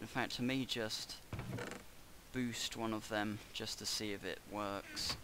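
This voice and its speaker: Monotone, flat intonation marks this man's speech. His pitch is fairly low. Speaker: gaming YouTuber. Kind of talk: gameplay commentary.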